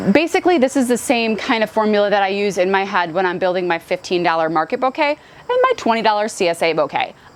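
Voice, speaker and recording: A woman talks at a medium pitch with an animated tone and lively intonation. Background noise is noticeable behind her. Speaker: flower farmer. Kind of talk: casual vlog talk. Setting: outdoors on a porch. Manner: fast.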